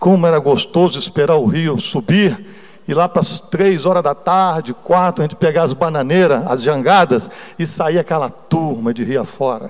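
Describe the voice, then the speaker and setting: With a normal speaking voice, a man talks at a moderate pace in a fairly high pitch, using ordinary pitch variation. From Brazil, Espírito Santo (Cariacica). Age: 60s. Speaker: church elder / lay preacher. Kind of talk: sermon with personal testimony. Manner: conversational, informal.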